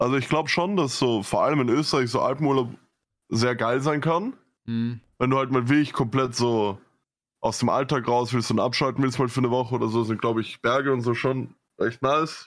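A man speaks in an ordinary speaking voice at a fairly quick pace, his pitch medium and his loudness very even. The recording is very clean, with a silent background. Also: fairly even intonation. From Vienna, Austria. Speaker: podcast co-host. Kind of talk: casual chat.

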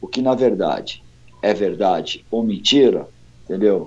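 A man speaks with a dark, mellow tone. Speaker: heavy metal singer. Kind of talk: casual interview.

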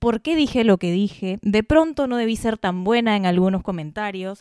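A woman's fairly high voice carries lively intonation on a very clean recording, dry and close with no echo and a silent background. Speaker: podcast co-host, lawyer. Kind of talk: casual chat.

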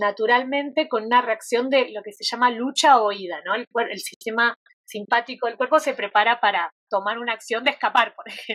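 A woman's unremarkable speaking voice, fairly high in pitch with ordinary pitch variation, at a fairly quick pace, in a dry, close sound with no echo. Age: 40s. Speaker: yoga therapist. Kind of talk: interview conversation.

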